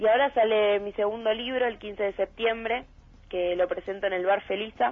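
The speaker keeps a moderate pace. The intonation stays fairly even. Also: woman. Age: young. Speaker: writer and actress, theater student. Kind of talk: interview.

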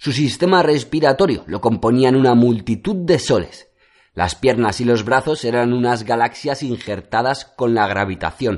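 A man talks in a plain, everyday voice at a medium pitch with lively intonation. His pace is fairly slow, and the background is quiet. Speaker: audiobook narrator. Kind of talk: fairy-tale fable narration, read aloud as a storybook tale. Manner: measured, storyteller's pacing.

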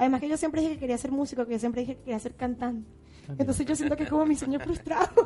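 A woman speaks very fast at a high pitch with fairly even intonation, over noticeable background noise. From Venezuela. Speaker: radio host. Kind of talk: live radio interview. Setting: radio studio.

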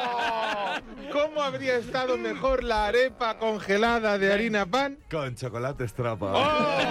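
With lively intonation at a fairly slow pace, the speaker is heard over noticeable background noise. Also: man, high pitch for a man. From Spain. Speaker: radio host and blind food critic. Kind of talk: casual chat. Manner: animated.

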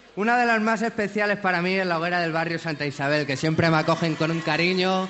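This man talks at a fairly quick clip with a high pitch and ordinary pitch variation, and there is noticeable background noise. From Alicante, Spain. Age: 20s. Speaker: actor. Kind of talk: festival proclamation speech. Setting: balcony before crowd.

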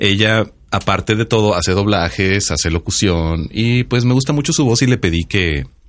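Against a quiet background, a man talks fairly slowly with lively intonation and vocal fry. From Mexico, Sinaloa. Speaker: podcast co-host. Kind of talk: casual chat. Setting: studio.

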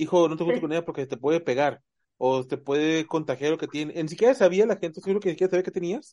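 A man's high-pitched, dark and mellow voice at a very fast pace, with ordinary pitch variation. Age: 30s. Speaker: podcast host. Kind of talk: casual chat.

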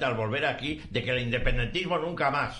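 Against noticeable background noise, a man talks fairly quickly at a medium pitch with ordinary pitch variation. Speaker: retired army general. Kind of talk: talk radio debate.

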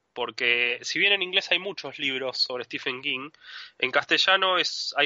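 The man's pitch is fairly high, with ordinary pitch variation. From Argentina. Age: 30s. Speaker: author. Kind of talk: interview.

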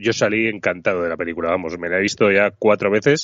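A man's fairly low voice at a fairly quick pace, a plain, everyday voice. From Spain, Zaragoza (Aragon). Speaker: podcast co-host. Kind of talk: casual chat.

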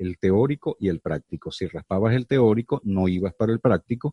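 A man speaks in a normal speaking voice at a moderate pace. His pitch is fairly low. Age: 50s. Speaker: podcast host and actor. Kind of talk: casual chat.

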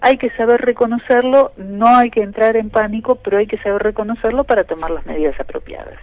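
With a plain, everyday voice, a woman speaks at a fairly quick pace in a fairly high pitch with ordinary pitch variation. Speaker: filmmaker and biochemist. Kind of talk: radio interview.

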